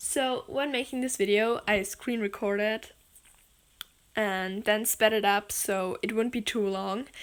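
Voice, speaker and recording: Speaking with a German accent, a woman goes at a fairly slow pace, her fairly high voice fairly even in intonation. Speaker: gaming and animation video creator. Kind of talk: editing tutorial voiceover. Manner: casual, filler-heavy, uses 'like' a lot.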